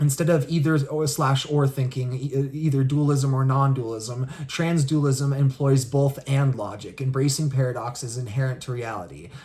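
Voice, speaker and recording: The voice is somewhat breathy with a dark, mellow tone and fairly even intonation. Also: man, medium pitch for a man, hardly any pauses. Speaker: spirituality video creator. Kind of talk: solo explainer monologue. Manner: fast; halting, many fillers and restarts.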